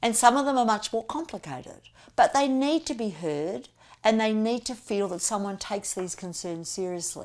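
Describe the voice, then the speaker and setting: On a very clean recording with a silent background, a woman with an Australian accent speaks at a moderate pace and fairly high pitch, her pitch swinging very widely. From Australia, Melbourne. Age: 60s. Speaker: political candidate. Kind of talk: campaign talk to camera.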